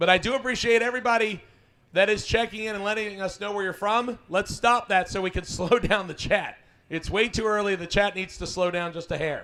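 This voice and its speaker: Raised and projected, the voice moves at a fairly quick pace with an energetic tone. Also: man, high pitch for a man. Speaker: live stream host for drag racing event. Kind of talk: live stream commentary. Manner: fast.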